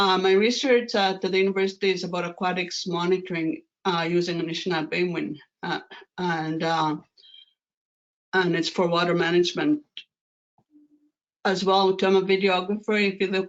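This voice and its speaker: A woman's medium-pitched voice with ordinary pitch variation and long, frequent pauses. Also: moderate pace. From Manitoba First Nation, Canada. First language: Anishinaabemowin (Ojibwe). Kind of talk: lecture. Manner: halting, many fillers.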